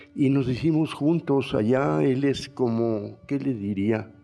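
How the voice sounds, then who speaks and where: Music plays in the background as a man speaks at a very slow pace with very wide pitch swings. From northern Mexico, Coahuila. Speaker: painter and muralist. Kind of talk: panel talk. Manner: halting, with many fillers.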